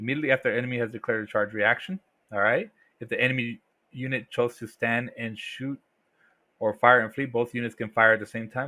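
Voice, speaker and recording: A man at a fairly quick pace, medium in pitch. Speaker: tabletop wargaming youtuber. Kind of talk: game rulebook review. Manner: fast; halting, self-correcting.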